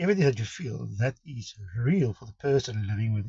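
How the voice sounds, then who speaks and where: Speaking at a moderate pace with a South African accent, a man with a medium pitch sounds somewhat breathy, his intonation lively. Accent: Afrikaans South African English. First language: Afrikaans. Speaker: vlogger sharing life with chronic pain condition. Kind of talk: personal introduction vlog. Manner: halting, with many fillers and restarts.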